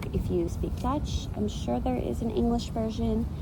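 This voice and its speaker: Over noticeable background noise, a soft-spoken woman talks at a moderate pace, her very deep, low pitch moving in very wide swings. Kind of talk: ASMR unboxing talk. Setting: outdoors, park.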